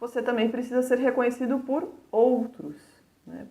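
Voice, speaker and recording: In a room with audible echo, a woman with a São Paulo accent speaks at a moderate pace in a fairly high voice. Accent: São Paulo (paulista) Brazilian Portuguese. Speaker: university lecturer. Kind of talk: lecture.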